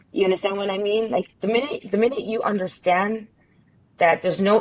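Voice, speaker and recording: A woman speaks at medium pitch with an Israeli accent. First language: Hebrew. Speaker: interview guest. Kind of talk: casual interview conversation.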